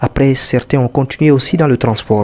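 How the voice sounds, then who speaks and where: Medium-pitched male voice with noticeable background noise. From Guinea, Fouta Djallon (Lélouma). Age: 80s+. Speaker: retired trader. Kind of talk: interview testimony.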